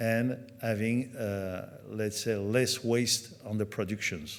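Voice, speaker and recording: Against audible room echo, a man speaks very slowly with fairly even intonation. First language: French. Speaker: company executive at trade conference. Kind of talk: conference presentation. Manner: halting, many fillers.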